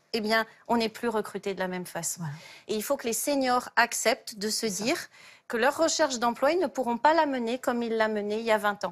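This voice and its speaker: Against a quiet background, a woman with a normal speaking voice and a fairly high pitch talks at a fairly quick pace with lively intonation. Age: 50s. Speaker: job search coach; talk show guest, job coach. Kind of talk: TV talk show explanation. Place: studio.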